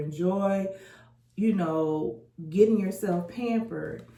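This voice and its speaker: A woman speaks very slowly in a fairly low, dark, mellow voice, with audible echo from the room. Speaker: lifestyle vlogger. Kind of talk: casual vlog monologue. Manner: animated.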